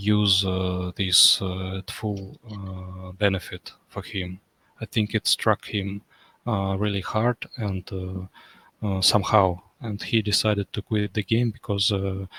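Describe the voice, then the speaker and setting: A soft-spoken man's bright, sharp voice at a fairly low pitch, very slow and monotone, with flat intonation, on a very clean, dry, close recording with a silent background and no echo. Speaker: online racing game champion. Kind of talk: casual chat. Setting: at home at midnight. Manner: halting.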